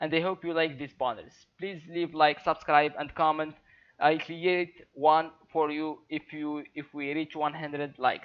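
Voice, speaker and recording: Fairly high pitch for a man, flat monotone intonation, a fairly slow pace. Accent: non-native. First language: not English. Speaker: YouTuber. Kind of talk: tutorial. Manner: halting, many fillers.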